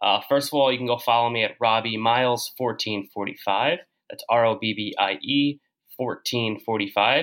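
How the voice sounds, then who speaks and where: This is a plain, everyday voice at a moderate pace. Its intonation is fairly even. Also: man, medium pitch for a man. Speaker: guest podcaster discussing Goosebumps books. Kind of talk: casual chat.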